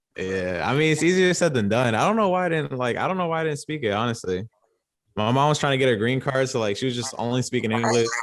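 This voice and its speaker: Speaking at a very fast pace with a New York accent, a man with a medium pitch uses lively intonation. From Long Island, New York. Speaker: podcast guest. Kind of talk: casual chat.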